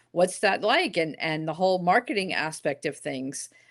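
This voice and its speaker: A woman with an ordinary speaking voice, fairly low in pitch, at a moderate pace with ordinary pitch variation against a quiet background. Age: 50s. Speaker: former pastor, writer and speaker. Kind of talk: casual chat. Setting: live video stream.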